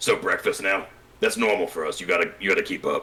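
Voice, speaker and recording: A raspy, put-on character voice at a very fast pace. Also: man. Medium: actual play. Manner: dry, matter-of-fact.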